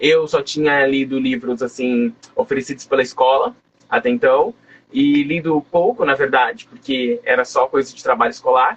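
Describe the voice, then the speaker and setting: An unremarkable speaking voice, this man's is fairly high in pitch, with lively intonation and a moderate pace. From Brazil, coastal São Paulo state (Guarujá). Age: 20s. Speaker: writer. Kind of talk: interview.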